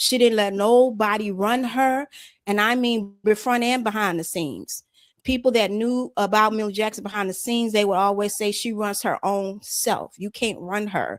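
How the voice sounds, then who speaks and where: In an American accent, a plain, everyday voice moves at a moderate pace with fairly even intonation on a very clean recording with a silent background. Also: woman, fairly high pitch for a woman. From Chicago. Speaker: southern soul singer. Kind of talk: interview.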